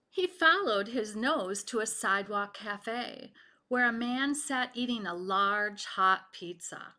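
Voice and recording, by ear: Reading aloud in a natural voice, the pitch rising and falling in an ordinary way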